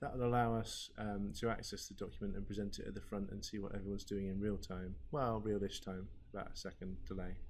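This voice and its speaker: The room echo is audible as a man talks at a very fast pace. His pitch is fairly low. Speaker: learning technologist. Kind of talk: tutorial. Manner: monotone.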